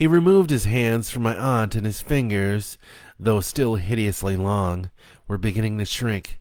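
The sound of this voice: An unforced reading voice carries the clip.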